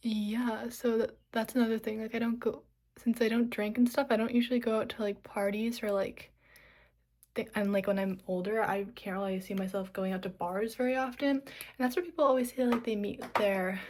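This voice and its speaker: Hers is an ordinary speaking voice, fairly high in pitch. The woman talks at a moderate pace with fairly even intonation. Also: very clean recording, silent background. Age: young. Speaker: vlogger. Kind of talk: casual chat. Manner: casual, filler-heavy.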